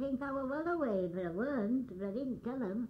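In a West Yorkshire accent, a woman talks at a fairly quick pace with a high pitch and lively intonation. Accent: broad West Yorkshire. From West Yorkshire, northern England. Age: 80s+. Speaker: grandmother recalling the past. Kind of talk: oral history reminiscence. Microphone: old recording.

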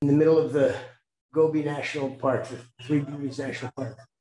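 With an American accent, a man speaks in a dark, mellow tone at a fairly high pitch, his intonation monotone and flat, with audible room echo. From New Jersey, US. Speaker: tour company founder. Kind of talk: webinar presentation.

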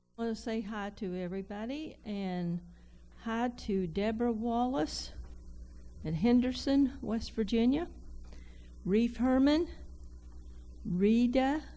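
A woman at a very slow pace, with ordinary pitch variation and long, frequent pauses. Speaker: program co-host. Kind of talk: casual greetings and reading cards. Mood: warm, cheerful, laughing. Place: studio.

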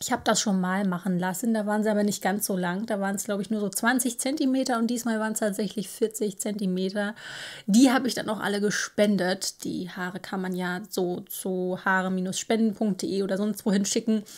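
An unremarkable speaking voice moves at a fairly quick pace with fairly even intonation. The background is quiet. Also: woman, medium pitch for a woman. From northern Germany, Baltic coast. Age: 30s. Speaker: knitting podcaster; knitting podcast host. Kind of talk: casual monologue. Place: home room.

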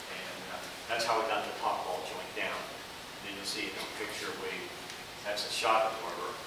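Over loud background noise and audible room echo, a man speaks at a moderate pace. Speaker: presenter. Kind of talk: technical presentation talk. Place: classroom. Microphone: camera far.

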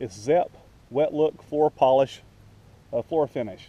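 Speaking slowly, a man uses a medium pitch and ordinary pitch variation, with a dark, mellow tone.

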